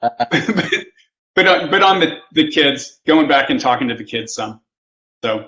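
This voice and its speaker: A man with an American accent uses an ordinary speaking voice, talking at a fairly slow pace and fairly high pitch with lively intonation. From US Midwest, western Kansas. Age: 60s. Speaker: photographer. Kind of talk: casual chat.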